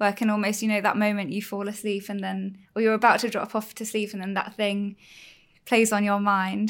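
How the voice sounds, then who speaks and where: An ordinary speaking voice comes through a very clean recording with a silent background. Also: woman. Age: 30s. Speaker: marketing manager. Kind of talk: casual chat.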